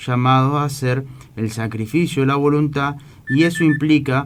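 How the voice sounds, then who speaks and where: At a moderate pace, a man is speaking. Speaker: radio host. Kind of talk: religious radio talk. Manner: halting.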